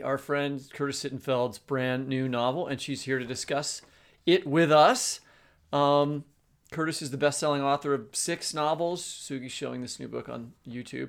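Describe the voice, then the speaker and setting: An ordinary speaking voice from a man, pitched fairly high, with fairly even intonation, big swings in loudness, and a very clean recording with a silent background. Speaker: podcast co-host and novelist. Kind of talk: casual chat.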